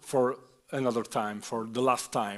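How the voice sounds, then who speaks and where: The speaker is a man. He talks with an Italian accent. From Italy. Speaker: author. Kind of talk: panel discussion. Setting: stage with audience. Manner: halting.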